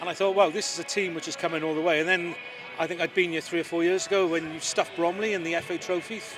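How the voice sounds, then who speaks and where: A man's high-pitched voice at a very fast pace, ordinary pitch variation, noticeable background noise. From Wales, Swansea. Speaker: lawyer and football club adviser. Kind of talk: interview.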